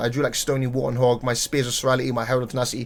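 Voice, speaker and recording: A man speaks at a very fast pace with a British accent. The recording is very clean, with a silent background. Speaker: card game player and content creator. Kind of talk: casual tournament recap monologue. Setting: home recording during heat wave. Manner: unscripted, repetitive and self-correcting.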